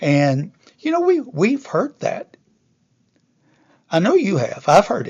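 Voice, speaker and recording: A man talks at a very slow pace. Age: 70s. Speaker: motivational speaker. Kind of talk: inspirational talk. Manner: halting.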